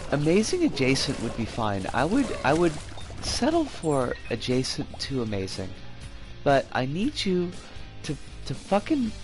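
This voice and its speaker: Music in the background, a fairly slow pace, and long, frequent pauses. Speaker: streamer. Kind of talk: casual gameplay live stream commentary.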